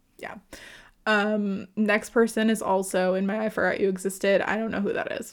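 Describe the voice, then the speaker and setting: Here a woman speaks with an American accent at a moderate pace. Her medium pitch stays monotone and flat. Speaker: tennis podcast co-host. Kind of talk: casual chat.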